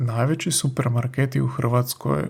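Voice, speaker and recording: A man at a medium pitch with vocal fry, speaking at a very slow pace. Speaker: language teacher podcaster. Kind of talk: language lesson. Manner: slow and clear.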